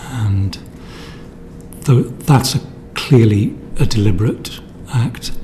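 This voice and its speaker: Amid noticeable background noise, a man speaks fairly slowly with ordinary pitch variation. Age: 60s. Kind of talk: testimony. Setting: parliamentary committee hearing. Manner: halting.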